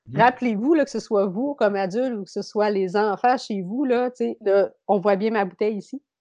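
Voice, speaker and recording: Against a quiet background, a woman with a Beauce accent speaks at a moderate pace in a dark, mellow tone with ordinary pitch variation. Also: fairly high pitch for a woman. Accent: Québécois French, Beauce. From Quebec, Beauce region. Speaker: yoga teacher and mental performance consultant. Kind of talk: casual interview chat.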